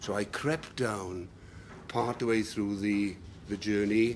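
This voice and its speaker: A man talks with a South Welsh accent. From Wales, Bridgend. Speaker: public speaker. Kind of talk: talk to an audience. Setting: room with live audience, no microphone. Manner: loud.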